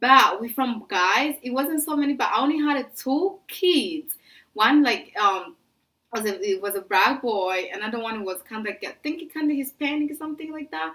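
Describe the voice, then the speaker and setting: A woman's raised, projected voice, high-pitched with a bright, sharp tone and very wide pitch swings. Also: moderate pace. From French-speaking Africa. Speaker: vlogger. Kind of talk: casual storytelling vlog.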